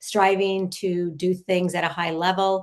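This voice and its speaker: A woman speaks at a medium pitch and a fairly slow pace. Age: 60s. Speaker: lacrosse coach. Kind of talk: interview conversation. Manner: halting.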